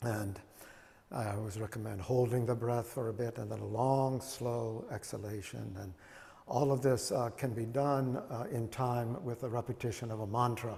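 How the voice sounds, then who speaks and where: A man speaks at a moderate pace with fairly even intonation. Audible room echo is present. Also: medium pitch for a man. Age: 70s. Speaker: Zen teacher. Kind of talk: dharma talk with questions. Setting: meditation hall. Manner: halting, many fillers.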